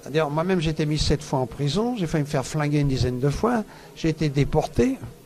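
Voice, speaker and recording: A man's fairly high voice races along very fast, with ordinary variation in pitch. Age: 70s. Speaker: world traveller and author. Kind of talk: radio interview. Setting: book fair radio booth.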